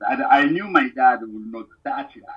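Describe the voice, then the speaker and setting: A man with a Congolese accent speaks at a fairly slow pace. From Democratic Republic of Congo. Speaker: musician. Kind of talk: casual interview chat. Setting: phone or video call.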